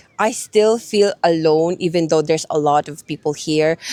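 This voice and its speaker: A woman with a fairly low voice speaks at a moderate pace with ordinary pitch variation, her dry, close sound free of echo yet set against noticeable background noise. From Philippines. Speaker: street interviewee. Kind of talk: casual interview.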